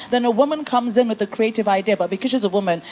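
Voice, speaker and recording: A woman with an English accent at a very fast pace, ordinary pitch variation, noticeable background noise. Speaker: business founder, panel speaker. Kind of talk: panel discussion.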